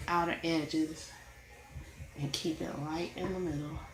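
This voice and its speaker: A woman mumbles in a room with audible echo. Music plays in the background. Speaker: coloring YouTuber. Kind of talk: casual tutorial. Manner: quiet, not projecting.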